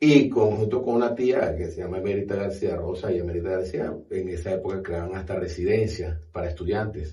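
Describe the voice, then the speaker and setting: A man talks fairly quickly with hardly any pauses, his pitch very deep and low. His tone is dark, mellow and somewhat breathy, with ordinary pitch variation. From Venezuela, Maracaibo (Zulia). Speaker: university director. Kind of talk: podcast interview.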